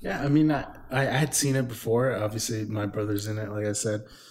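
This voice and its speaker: A man with an American accent at a fairly quick pace, fairly even intonation, and audible room echo. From Southern California (El Monte). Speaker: podcast co-host. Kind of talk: casual chat.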